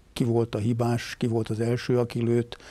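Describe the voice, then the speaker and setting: A man with a dark, mellow, somewhat breathy tone at a moderate pace in a dry sound with no echo. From Hungary. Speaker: retired army general. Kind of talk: interview. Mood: calm, reflective. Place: studio. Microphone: lapel.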